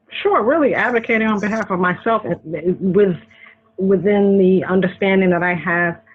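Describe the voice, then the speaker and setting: A woman with a slight Boston accent, fairly low in pitch, at a moderate pace and with fairly even intonation. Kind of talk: interview.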